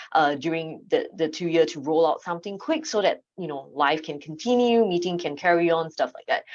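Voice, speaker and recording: A woman speaks with a Singaporean accent in a fairly low voice. Her pitch varies in an ordinary way against a quiet background. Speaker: AV consultant. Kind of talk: panel discussion. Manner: hesitant, many fillers.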